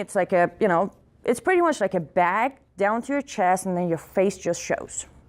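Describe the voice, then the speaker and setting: A woman with an Iranian accent, lively intonation and a moderate pace. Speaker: activist speaker. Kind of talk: speech to audience. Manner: loud; animated.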